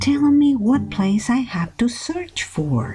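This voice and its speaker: In a put-on character voice, a female-sounding speaker talks fairly slowly with a fairly high pitch and a warm tone. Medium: read story. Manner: warm, caring.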